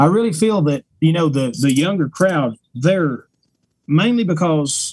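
A man speaks with an Appalachian accent. His pitch is fairly high, with ordinary variation. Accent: Appalachian Southern. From East Tennessee. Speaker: bluegrass musician. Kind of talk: casual interview chat.

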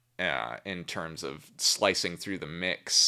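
The tone is bright and sharp, with an American accent and ordinary pitch variation. The recording is very clean, with a silent background. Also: man. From US Midwest, Milwaukee, Wisconsin. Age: 20s. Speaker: touring bass player. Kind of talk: casual chat.

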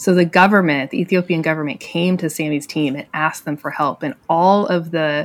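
In an unremarkable speaking voice, a woman with an American accent talks at a moderate pace, fairly low in pitch with ordinary pitch variation. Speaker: ministry storyteller. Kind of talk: casual interview.

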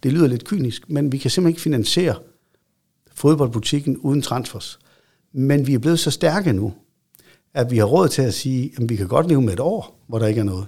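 A man speaks at a medium pitch in a somewhat breathy, dark and mellow tone. His pace is moderate, broken by long, frequent pauses. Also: lively intonation. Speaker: football club chief executive. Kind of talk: interview. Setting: studio. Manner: halting with repetitions.

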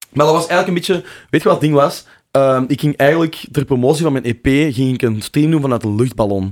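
In a very clean recording with a silent background, a man speaks at a fairly quick pace with a fairly high pitch and ordinary pitch variation. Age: 20s. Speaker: drum and bass DJ and producer. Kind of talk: casual interview chat. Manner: halting, many fillers and repeats.

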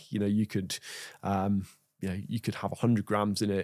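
Talking very fast with an English accent, a man keeps a fairly low pitch and a monotone, flat intonation. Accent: non-Yorkshire regional English. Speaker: nutritionist. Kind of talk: interview conversation.

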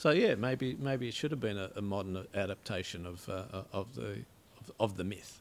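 A man with an Australian accent talks at a moderate pace using lively intonation. His loudness swings widely. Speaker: writer and poet. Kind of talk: casual chat. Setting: studio.

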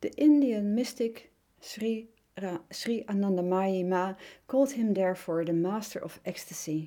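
A woman with a Dutch accent, medium pitch, dark, mellow tone, lively intonation and fairly slow pace, on a very clean recording with a silent background.

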